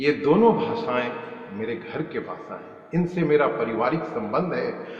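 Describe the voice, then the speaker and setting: Very wide pitch swings and big swings in loudness mark this voice with a Pakistani accent. Audible room echo and noticeable background noise are present. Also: man, fairly high pitch for a man. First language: Urdu (speaking Hindi). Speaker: motivational vlogger. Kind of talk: motivational talk. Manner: repetitive emphatic delivery.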